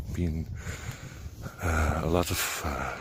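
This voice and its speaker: A man speaks with a somewhat breathy voice. His pitch is very deep and low. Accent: Dutch. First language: Dutch. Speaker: vlogger on high sensitivity. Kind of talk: casual solo vlog talk. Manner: halting, many fillers.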